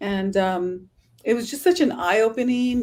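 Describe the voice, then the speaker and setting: This woman's voice sits fairly high with a Californian accent. Her pitch moves in an ordinary way. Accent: Californian American English. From Southern California. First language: Spanish. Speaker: travel influencer. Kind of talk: podcast interview.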